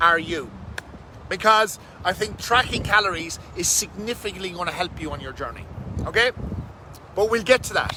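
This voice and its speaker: Over noticeable background noise, a man with high pitch talks in an animated tone with ordinary pitch variation. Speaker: fitness coach. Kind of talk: casual live stream talk. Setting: outdoors under a bridge.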